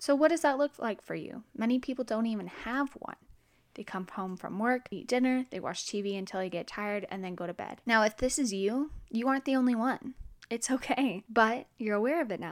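On a very clean recording with a silent background, a woman with a normal speaking voice talks fairly quickly at a fairly high pitch with ordinary pitch variation. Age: 20s. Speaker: podcast host. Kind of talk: solo self-help podcast monologue.

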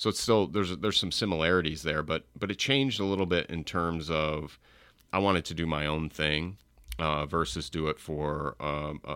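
In a very clean recording with a silent background, a man with an American accent talks at a fairly quick pace in a very deep, low pitch with a bright, sharp tone. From upstate New York. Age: middle-aged. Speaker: entrepreneur. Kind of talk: casual chat.

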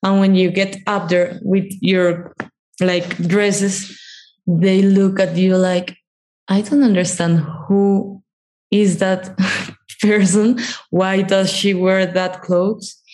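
A woman with a Spanish accent speaks at medium pitch in a monotone, flat way, very slowly, with long, frequent pauses and very even loudness. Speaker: documentary producer, former psychologist. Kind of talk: interview conversation.

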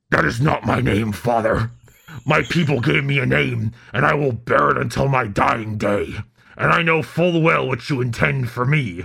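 A put-on character voice growls with lively intonation. The pace is moderate. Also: man, medium pitch for a man. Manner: gruff, pirate-like.

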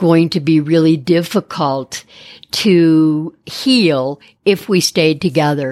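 On a very clean recording with a silent background, a woman with an American accent and a very deep, low pitch speaks at a very slow pace. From Detroit, US Midwest. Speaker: art therapist. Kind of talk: interview.

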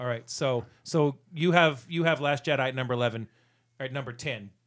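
An unremarkable speaking voice with ordinary pitch variation, in a very clean recording with a silent background. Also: man. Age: 40s. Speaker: podcast co-host. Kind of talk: casual chat. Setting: studio.

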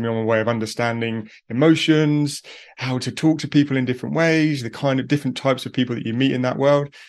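Over a quiet background, a man with a British accent and medium pitch talks very fast with fairly even intonation. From UK. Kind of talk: casual interview conversation.

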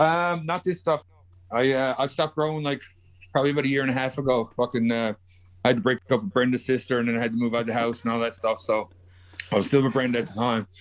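With a Newfoundland accent, a man speaks very fast at a medium pitch. His pitch varies in an ordinary way. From Newfoundland, Canada. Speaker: podcast guest. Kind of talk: casual chat.

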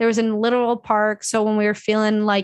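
With an ordinary speaking voice and an American accent, a woman talks at a moderate pace with fairly high pitch against a quiet background. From US Midwest, suburban Illinois north of Chicago. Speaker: podcast host. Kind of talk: casual chat.

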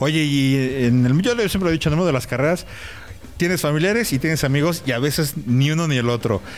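A man with a Mexican accent speaks at a fairly quick pace, his fairly high voice holding very even loudness. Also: ordinary pitch variation. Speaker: podcast host. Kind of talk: casual interview. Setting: in person at a race event.

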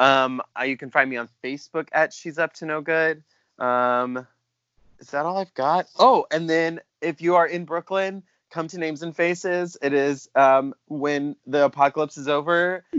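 A fairly high-pitched man at a moderate pace, with ordinary pitch variation and big swings in loudness. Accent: American. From South Carolina. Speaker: drag performer. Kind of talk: casual chat. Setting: Skype call.

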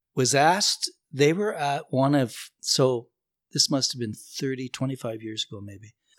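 In a Canadian accent, a man with an unremarkable speaking voice and medium pitch talks at a moderate pace with lively intonation and big swings in loudness. The recording is very clean and dry, close with no echo and a silent background. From Northern Ontario, Canada. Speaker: musician and bandleader. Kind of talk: casual chat.

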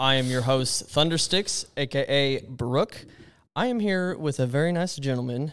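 At a fairly quick pace, a man speaks at medium pitch with ordinary pitch variation in an unremarkable speaking voice. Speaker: podcast host. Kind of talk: casual interview. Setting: studio.

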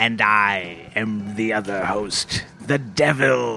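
Against clear background noise, a man uses a put-on character voice at a fairly low pitch and a very slow pace. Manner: devil voice.

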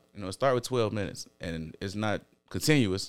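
Someone talks at a very fast pace with ordinary pitch variation. Music plays in the background. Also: man. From Chicago, US. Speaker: podcast guest. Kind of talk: casual chat.

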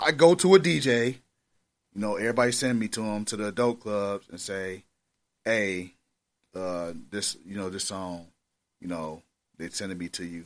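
A man with a fairly low pitch and ordinary pitch variation speaks at a moderate pace, with big swings in loudness and long, frequent pauses, in a very clean recording with a silent background. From Milwaukee, Wisconsin. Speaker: rapper. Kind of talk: casual interview.

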